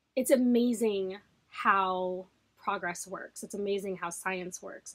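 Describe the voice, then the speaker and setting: Here a woman speaks at a medium pitch. Her intonation is fairly even. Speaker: book vlogger. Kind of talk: casual monologue to camera. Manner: halting, many fillers.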